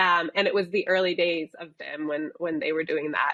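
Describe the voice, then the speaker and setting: A woman with an American accent speaks at a moderate pace in an ordinary speaking voice, her fairly low pitch held to fairly even intonation. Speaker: software company executive. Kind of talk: interview.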